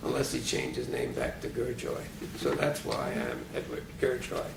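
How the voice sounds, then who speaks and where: A man with a New York accent at a moderate pace, plus audible room echo and noticeable background noise. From New York City, Brooklyn. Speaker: retired physics professor. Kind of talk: oral history interview. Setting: private apartment.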